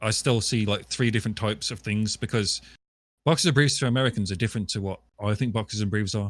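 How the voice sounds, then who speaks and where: A man with a British accent talks at a very fast pace in a fairly low pitch, with ordinary pitch variation, on a very clean recording with a silent background. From England, West Midlands. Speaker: live streamer. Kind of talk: casual interview on live stream. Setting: live stream podcast.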